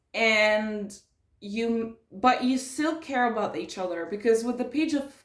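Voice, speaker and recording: A woman's fairly high, lively voice with audible room echo. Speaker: tarot reader. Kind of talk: tarot reading. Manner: hesitant, many fillers.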